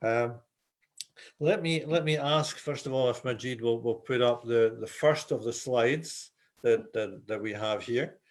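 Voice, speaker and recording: This man talks at a fairly slow pace in a Scottish accent. His medium pitch shows ordinary variation. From Scotland. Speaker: volleyball referee instructor. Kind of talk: webinar presentation. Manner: hesitant, repeating words.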